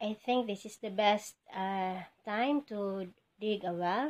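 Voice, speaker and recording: Her intonation fairly even, a woman talks at a very slow pace. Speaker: home vlogger. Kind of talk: casual vlog chat. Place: kitchen. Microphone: phone near.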